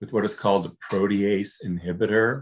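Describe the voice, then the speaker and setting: Against a quiet background, a man with a fairly low voice talks at a moderate pace and with fairly even intonation. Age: 60s. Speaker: long-term HIV survivor. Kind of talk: interview. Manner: halting.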